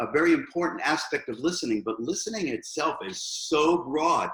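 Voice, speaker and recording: This is a man talking at a moderate pace. He speaks in a New York accent. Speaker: hairstylist and educator. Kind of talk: interview.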